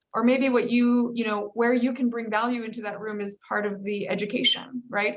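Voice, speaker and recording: In a plain, everyday voice, a woman with an American accent speaks at a fairly quick pace in a fairly high pitch with ordinary pitch variation. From United States. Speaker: entrepreneur and author. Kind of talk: panel discussion.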